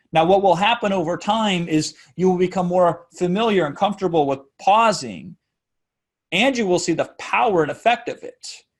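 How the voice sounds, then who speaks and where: A man with a high-pitched voice. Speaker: webinar marketing coach. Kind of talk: tutorial. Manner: fast; uses frequent strategic pauses.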